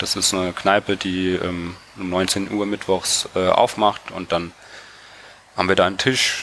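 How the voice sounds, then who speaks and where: A man's very deep, low voice in a flat monotone, over noticeable background noise. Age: 20s. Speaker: cycling activist and engineering student. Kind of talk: casual interview.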